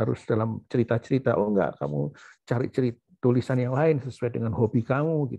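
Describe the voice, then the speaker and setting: A man at a medium pitch, fairly quick, with ordinary pitch variation. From Surabaya, East Java, Indonesia. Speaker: professor and doctor. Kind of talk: memorial talk with slides. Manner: halting, many fillers.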